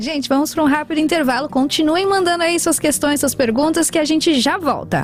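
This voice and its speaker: A woman speaks fast-ish and high, with an upbeat tone and hardly any pauses. Music plays behind her. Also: ordinary pitch variation, very even loudness. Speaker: radio host. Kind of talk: radio talk show hosting. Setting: radio studio. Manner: upbeat, friendly.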